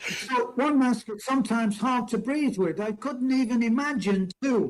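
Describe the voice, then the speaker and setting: The pace stays moderate. Pitch variation is ordinary. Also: man, extremely high pitch for a man. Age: 80s+. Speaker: expat interviewee. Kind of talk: casual chat.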